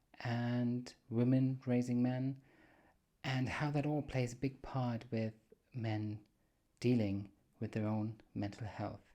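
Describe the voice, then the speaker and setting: A man with a German accent talks at a medium pitch in a monotone, flat intonation. His pace is very slow, broken by long, frequent pauses. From Germany. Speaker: podcast host. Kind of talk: solo podcast monologue. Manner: casual, with hesitations.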